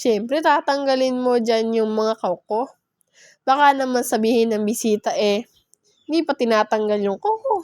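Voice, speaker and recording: A woman with a Bisaya accent speaks at a fairly slow pace in a high pitch with an animated tone. The recording is very clean, with a silent background and a dry, close sound with no echo. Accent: Bisaya-tinged Tagalog. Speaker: vlogger. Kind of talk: casual vlog narration. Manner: chatty, animated.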